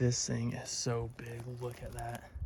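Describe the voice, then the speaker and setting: A quiet man speaks at a fairly slow pace over noticeable background noise. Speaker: outdoor vlogger, shed hunter. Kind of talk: casual vlog narration while hiking. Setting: outdoors, hiking in the mountains. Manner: quiet, hushed; excited, exclamatory.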